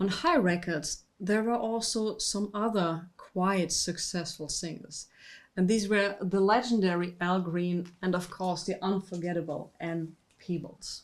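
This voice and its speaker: Using a normal speaking voice, a woman talks at a fairly slow pace and a medium pitch. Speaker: music show host, vinyl record presenter. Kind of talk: casual music history talk to camera. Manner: warm, friendly.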